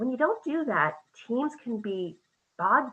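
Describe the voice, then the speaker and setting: Lively intonation colors a plain, everyday voice that speaks at a moderate pace. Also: woman. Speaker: quality management consultant. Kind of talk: conference presentation.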